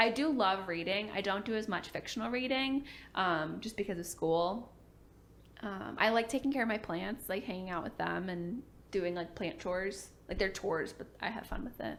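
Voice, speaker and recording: In a normal speaking voice, a woman talks at a moderate pace and medium pitch, with ordinary pitch variation. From Virginia, US. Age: 20s. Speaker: PA student and study-with-me YouTuber. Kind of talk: casual Q&A chat. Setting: sit-down filmed at home, partner off camera. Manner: casual, filler-heavy.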